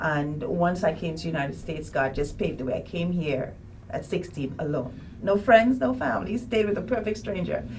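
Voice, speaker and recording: Noticeable background noise and audible room echo surround this woman's voice. She talks at a fairly quick pace and fairly low pitch, with lively intonation. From Trinidad and Tobago. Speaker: author and ambassador. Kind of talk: testimony.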